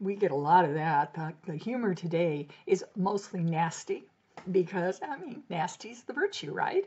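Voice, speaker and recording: Spoken in an American accent at a moderate pace, the voice has lively intonation and big swings in loudness, with noticeable background noise behind it. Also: woman, medium pitch for a woman. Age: 70s. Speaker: blogger. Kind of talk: casual talk to camera.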